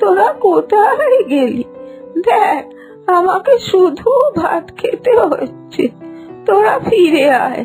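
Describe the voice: Doing a cartoonish character voice, a woman speaks slowly at an extremely high pitch with big pitch swings and a slightly mellow tone, faint music in the background.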